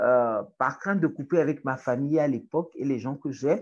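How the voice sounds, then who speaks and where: A woman speaks with a strong Togolese accent. Her pace is fairly slow. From Togo (Lomé). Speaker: writer, activist and journalism lecturer. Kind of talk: interview conversation. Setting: in person in Lomé.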